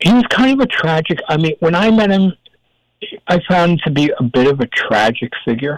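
The voice moves in very wide pitch swings, with a dry, close sound and no echo. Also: man, high pitch for a man, moderate pace, very even loudness. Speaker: producer and meditation teacher. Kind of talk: interview conversation.

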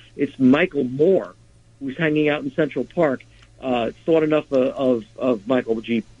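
At a fairly slow pace, a man with a fairly high pitch and ordinary pitch variation speaks in a dry, close sound with no echo. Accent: New York. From Nyack, New York. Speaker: indie rock musician and charity concert organizer. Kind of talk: interview.

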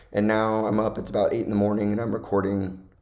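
Audible room echo surrounds a man speaking at a fairly quick pace. His fairly low voice stays monotone and flat. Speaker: college football podcaster. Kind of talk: solo podcast monologue. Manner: casual, conversational.

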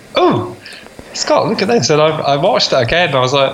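Room echo is audible as a man speaks over noticeable background noise. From Scotland, rural Fife. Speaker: podcast co-host. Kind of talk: casual chat.

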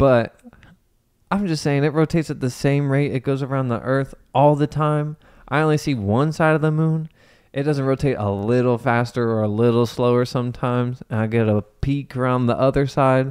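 Recorded very cleanly against a silent background, a man with an American accent speaks at a medium pitch in an unremarkable speaking voice. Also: ordinary pitch variation, moderate pace. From US Midwest, Ohio (Cincinnati area). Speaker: podcast co-host, auto shop owner. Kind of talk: casual chat.

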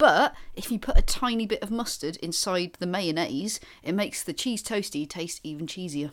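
With a Welsh accent, a woman of medium pitch speaks at a moderate pace with lively intonation, hardly any pauses and big swings in loudness. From Wales. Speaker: comedian and gig promoter. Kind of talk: casual chat.

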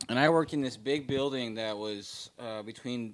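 Speaking with an American accent, a man keeps a medium pitch and shows ordinary pitch variation. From Bay Area, California. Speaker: guest music producer. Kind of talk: casual chat.

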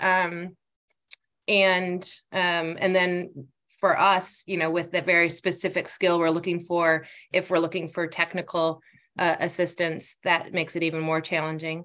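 With an American accent, a woman speaks in a fairly low pitch and a bright, sharp tone, her intonation monotone and flat, on a very clean recording with a silent background. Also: moderate pace. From Michigan, Northport near Traverse City. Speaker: human resources manager. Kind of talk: interview. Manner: hesitant, many fillers.

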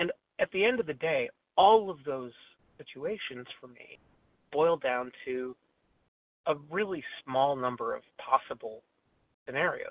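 Lively intonation and big swings in loudness mark a man's fairly slow delivery, broken by long, frequent pauses. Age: 50s. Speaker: twelve-step meeting speaker. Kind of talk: testimony. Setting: phone call. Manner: halting, many fillers.

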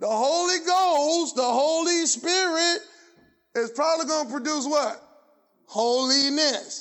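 Speaking very slowly, a man uses an extremely high pitch with ordinary pitch variation. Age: 50s. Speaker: pastor. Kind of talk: sermon; fervent call-and-response preaching, hammering rhetorical questions at the congregation. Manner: conversational and colloquial, prompting audience replies; rising, insistent cadence with repeated phrases building intensity.

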